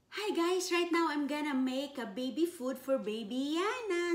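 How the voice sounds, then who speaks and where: The speech moves at a very slow pace. Room echo can be heard. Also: woman. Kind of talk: casual vlog tutorial. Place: kitchen. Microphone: camera far.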